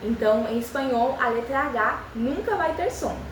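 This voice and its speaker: A woman speaks in a calm tone at a high pitch. Noticeable background noise and audible room echo are present. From Spanish-speaking country. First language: Spanish (speaking Portuguese). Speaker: language teacher. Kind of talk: tutorial. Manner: calm, step by step.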